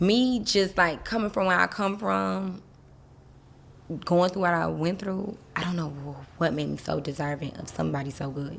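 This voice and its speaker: In a Southern accent, a woman speaks at a moderate pace with a fairly low pitch. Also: ordinary pitch variation. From US South, Miami. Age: 30s. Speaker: interview guest. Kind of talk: casual interview.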